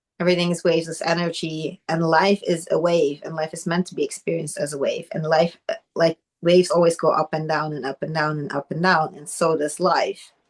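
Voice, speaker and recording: A woman with a non-native accent speaks at a fairly quick pace with hardly any pauses, her fairly low voice monotone and flat but with big swings in loudness, in a dry, close sound with no echo. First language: not English. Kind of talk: casual chat.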